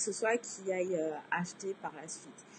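A woman speaks at a fairly slow pace, somewhat breathy, with ordinary pitch variation. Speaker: blogging coach and podcast host. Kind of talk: Facebook Live tutorial talk. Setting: Facebook Live broadcast.

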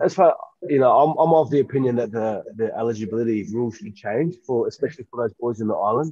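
A man with an Australian accent speaks very fast at a medium pitch. His tone is dark and mellow, with ordinary pitch variation. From rural New South Wales, Australia. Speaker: professional rugby player. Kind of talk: casual interview chat. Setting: remote call from quarantine.

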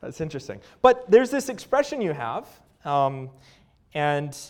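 This man has a Canadian accent. He talks at a moderate pace. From Canada. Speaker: assistant pastor. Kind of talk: sermon. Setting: church.

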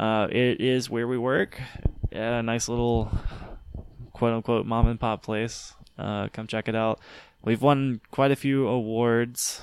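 A man talks at a fairly slow pace in a medium pitch, his intonation flat and monotone, with long, frequent pauses. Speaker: podcast co-host. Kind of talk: casual chat.

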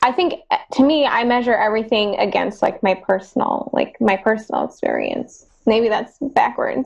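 A woman speaks with fairly high pitch and vocal fry at a moderate pace. Her loudness stays very even, with ordinary pitch variation. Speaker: participant. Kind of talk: casual discussion. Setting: video call.

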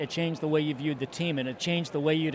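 Over noticeable background noise, a man with an American accent speaks at a fairly high pitch with ordinary pitch variation. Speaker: baseball fan. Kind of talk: interview. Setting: ballpark stands.

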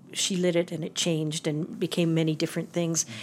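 A woman with an unremarkable speaking voice and a fairly low pitch talks at a fairly quick pace. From Calgary, Alberta, Canada. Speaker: theatre and film designer, university professor. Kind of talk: casual interview chat. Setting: office interview.

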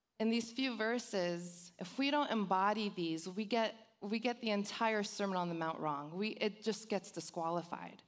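At a moderate pace, a woman with a Californian accent talks in an animated tone. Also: medium pitch for a woman, ordinary pitch variation, hardly any pauses. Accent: Californian Valley girl. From Los Angeles, San Fernando Valley. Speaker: church youth director. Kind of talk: sermon. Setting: church with congregation.

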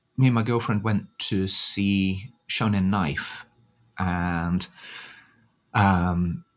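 A man with a British accent speaks very slowly at a fairly low pitch, leaving long, frequent pauses. His pitch variation is ordinary, and the recording is very clean with a silent background. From Britain. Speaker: music fan. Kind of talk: casual chat. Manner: hesitant, filler-heavy.

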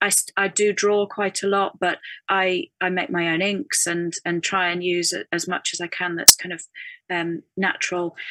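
In a northern English accent, a woman speaks at a moderate pace and medium pitch with a bright, sharp tone and fairly even intonation, in a dry, close sound with no echo. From northern England. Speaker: textile artist. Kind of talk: casual interview. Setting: video call. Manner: thoughtful, hesitant with fillers.

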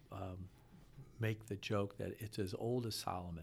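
An American accent from a somewhat breathy man. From US Midwest (Akron, Ohio). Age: 60s. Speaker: financial consultant. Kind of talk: casual interview.

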